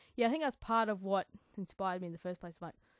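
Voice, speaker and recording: A mumbling woman at a medium pitch with ordinary pitch variation, in a dry, close sound with no echo and a very clean recording with a silent background. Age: 30s. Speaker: podcast host, songwriter and vocalist. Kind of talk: casual solo podcast monologue. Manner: rambling, thinking out loud.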